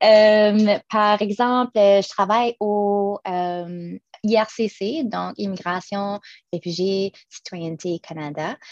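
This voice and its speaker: In a New Brunswick accent, a woman speaks at a very slow pace with ordinary pitch variation, in a dry, close sound with no echo. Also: medium pitch for a woman. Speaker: public service manager. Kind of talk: panel presentation. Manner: halting, repeats words.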